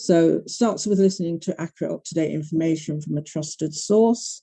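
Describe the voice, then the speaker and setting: In a British accent, a woman speaks at a moderate pace with a very deep, low pitch, a dark, mellow tone and ordinary pitch variation. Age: 60s. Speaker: breast cancer advocate. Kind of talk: panel talk.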